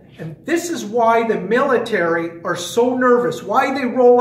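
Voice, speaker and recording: A man in an animated tone, with noticeable background noise and audible room echo. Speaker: fitness trainer and conspiracy vlogger. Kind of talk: casual monologue vlog.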